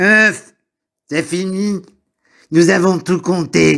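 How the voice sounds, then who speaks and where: In a put-on character voice, the speaker uses a middle pitch. The pace is very slow. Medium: read story. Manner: greedy, relishing.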